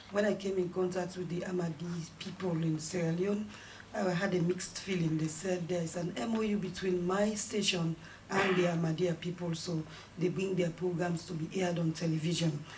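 The pace is moderate. Noticeable background noise runs underneath. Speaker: journalist. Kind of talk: press conference question. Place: meeting room.

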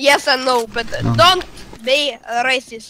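A raised, projected voice moves at a very slow pace with ordinary pitch variation over noticeable background noise. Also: woman. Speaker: gamer in voice chat.

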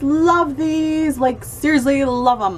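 A woman speaks over a light layer of background noise. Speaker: fashion vlogger. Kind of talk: casual vlog chat. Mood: upbeat and enthusiastic. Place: home room. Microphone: phone near.

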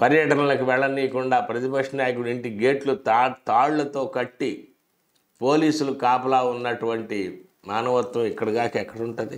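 Against a quiet background, a man talks at a medium pitch with fairly even intonation. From Andhra Pradesh, India. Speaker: political commentator. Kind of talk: political commentary monologue. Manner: sarcastic. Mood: critical, sarcastic. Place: studio. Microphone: lapel.

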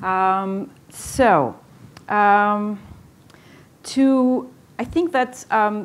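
A woman with a Portuguese accent speaks with lively intonation. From Portugal. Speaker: moderator and researcher; moderator. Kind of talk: moderated debate. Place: hall.

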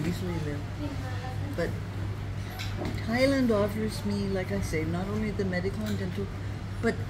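Loud background noise around a woman's voice. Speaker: retired traveller and author. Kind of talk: interview answer. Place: cafe. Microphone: phone near.

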